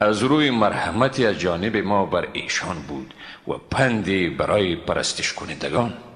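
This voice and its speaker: A man's fairly low voice with lively intonation at a moderate pace, over noticeable background noise. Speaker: Quran translator. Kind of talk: scripture translation reading. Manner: calm, soft.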